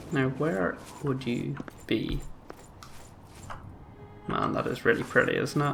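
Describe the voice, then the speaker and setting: Music plays in the background as a man speaks at a fairly slow pace with long, frequent pauses. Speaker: gaming commentator. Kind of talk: let's play commentary. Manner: hesitant, many filler sounds.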